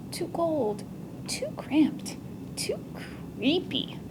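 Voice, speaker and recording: A woman whispering in a put-on character voice at a very slow pace, under loud background noise. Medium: read story.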